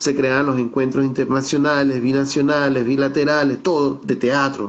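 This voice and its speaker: The speed is moderate. The voice belongs to a man. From Venezuelan Andes, San Cristóbal (Táchira). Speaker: theatre director and researcher. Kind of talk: virtual talk / interview. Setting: video call. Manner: conversational, with hesitations.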